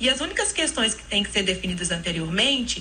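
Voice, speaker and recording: In a Minas Gerais accent, a woman talks at a fairly quick pace. Noticeable background noise and audible room echo are present. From Minas Gerais, Brazil. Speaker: notary. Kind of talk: radio interview. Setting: radio studio.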